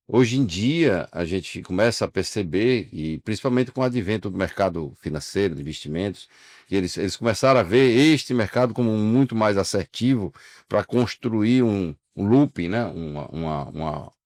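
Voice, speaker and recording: This is an unremarkable speaking voice with lively intonation at a moderate pace. The sound is dry and close with no echo, and the recording is very clean with a silent background. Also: man, fairly low pitch for a man. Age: 60s. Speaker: insurance broker, union leader. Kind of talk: interview conversation.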